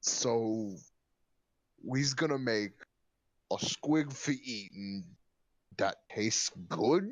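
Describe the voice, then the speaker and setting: A gruff, put-on character voice talks at a very slow pace with long, frequent pauses, lively intonation, and very even loudness. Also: man, medium pitch for a man. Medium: actual play. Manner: gruff slangy ork talk.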